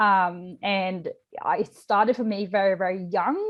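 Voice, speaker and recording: A woman speaks with a slight Swedish accent. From Sweden. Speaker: nutrition coach. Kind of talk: podcast interview. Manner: casual, many fillers.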